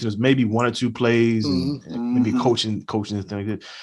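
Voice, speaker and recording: Using an ordinary speaking voice, a man talks at a fairly quick pace with a medium pitch and ordinary pitch variation. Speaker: podcast host. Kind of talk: casual sports podcast conversation.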